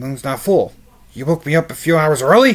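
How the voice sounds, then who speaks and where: Using a put-on character voice, a man speaks fairly quickly in a fairly high pitch. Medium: read story.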